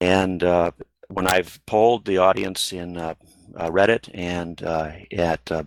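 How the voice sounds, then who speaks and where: In a dry, close sound with no echo, a man speaks at a fairly slow pace with a very deep, low pitch. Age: 60s. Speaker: retired software engineer and AI researcher. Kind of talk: online panel discussion; reading aloud. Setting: online video hangout. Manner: halting, many fillers.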